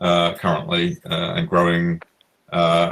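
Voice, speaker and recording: A man with a British accent. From Britain. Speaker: innovation lab organizer. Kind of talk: self-introduction on video call.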